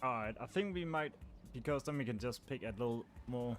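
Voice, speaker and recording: Moderate-paced speech from a man in a Danish accent, medium in pitch with ordinary pitch variation, over music in the background. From Denmark. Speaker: gaming livestreamer. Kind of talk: casual chat. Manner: relaxed.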